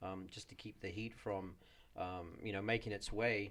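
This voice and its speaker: The speaker has a New Zealand accent and talks at a moderate pace with monotone, flat intonation. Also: man. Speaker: auto shop owner. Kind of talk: podcast interview.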